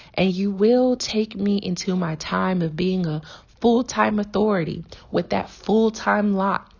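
A woman speaks at a moderate pace, somewhat breathy. Her pitch varies in an ordinary way. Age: 20s. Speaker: podcast host. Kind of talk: devotional teaching.

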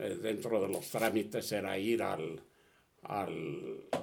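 Moving at a very slow pace, a man speaks at a medium pitch with vocal fry. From Spain (Catalonia, near Barcelona). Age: 80s+. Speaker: refugee of the Spanish Civil War, elderly father. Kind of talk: personal testimony in an interview. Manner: halting with repetitions.

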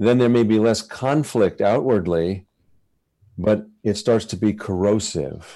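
A man with a fairly low pitch and a dark, mellow tone speaks at a very slow pace. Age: 60s. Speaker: poet and author. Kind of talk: interview and poetry reading.

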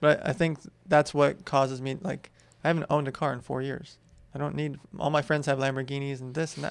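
Speech in an American accent comes at a very fast pace with fairly even intonation. The background is quiet. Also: man, fairly high pitch for a man. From California, US. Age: 30s. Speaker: entrepreneur. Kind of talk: casual interview.

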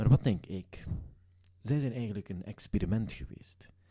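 A dark, mellow tone at a moderate pace. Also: man. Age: 20s. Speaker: comedy podcast host. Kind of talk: casual chat.

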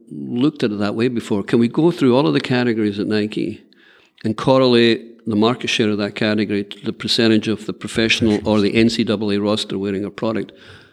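This is a man with a fairly low pitch. He talks at a fairly quick pace. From Scotland. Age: 60s. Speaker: business executive. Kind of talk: interview.

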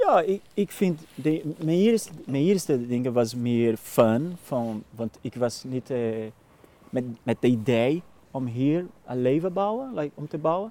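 Speaking with a Brazilian accent, a man uses a fairly high pitch and lively intonation at a very slow pace. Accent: Brazilian Portuguese accent in Dutch. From Brazil, Minas Gerais. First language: Portuguese (speaking Dutch). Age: 30s. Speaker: actor and lookalike performer. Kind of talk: casual interview. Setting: outdoors, walking. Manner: halting.

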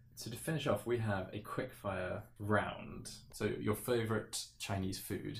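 With a southern English accent, a man talks at a fairly slow pace with hardly any pauses, a fairly low pitch, ordinary pitch variation and vocal fry. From England, Cotswolds. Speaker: podcast host. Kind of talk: interview.

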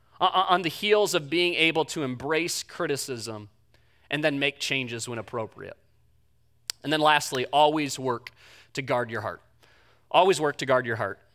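A bright, sharp tone at a moderate pace, with ordinary pitch variation, long, frequent pauses and a very clean recording with a silent background. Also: man, fairly high pitch for a man. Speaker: pastor. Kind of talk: sermon. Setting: church. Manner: halting.

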